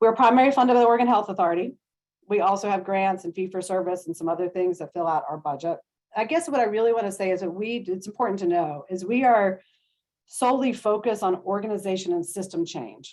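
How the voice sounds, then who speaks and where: A woman speaks at a very fast pace with a medium-pitched voice. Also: ordinary pitch variation. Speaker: social worker, trauma-informed care program leader. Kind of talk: panel presentation. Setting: video call.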